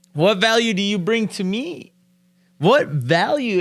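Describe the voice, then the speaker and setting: Loud and animated, a man talks with lively intonation. The recording is very clean, and the background is silent. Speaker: real estate investor and podcast host. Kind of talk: casual interview chat.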